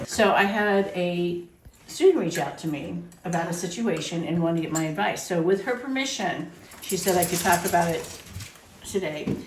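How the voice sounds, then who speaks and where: Through noticeable background noise, a woman speaks at a moderate pace and a fairly low pitch with ordinary pitch variation. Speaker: psychic medium and spiritual teacher. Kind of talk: casual podcast banter.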